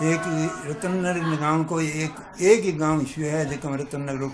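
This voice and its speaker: Fairly even intonation carries the speech while music plays in the background. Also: man. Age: 80s+. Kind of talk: interview answer.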